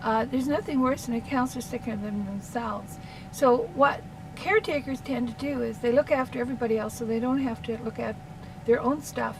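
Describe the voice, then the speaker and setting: Fairly even intonation carries a voice with a Canadian accent over noticeable background noise. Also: woman, high pitch for a woman, fairly quick pace. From Canada. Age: 60s. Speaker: counselor. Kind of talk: casual monologue. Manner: rambling, hesitant with fillers.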